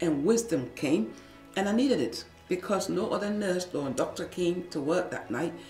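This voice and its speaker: Against faint background music and audible room echo, a woman with a fairly low pitch speaks at a moderate pace. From Liberia. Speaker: former nurse and midwife, radio producer. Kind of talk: interview answer. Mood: earnest, emotional recollection. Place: studio.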